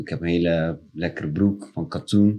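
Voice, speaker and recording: A man's very deep, low voice at a fairly slow pace. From Rotterdam Delfshaven. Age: 30s. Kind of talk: casual chat.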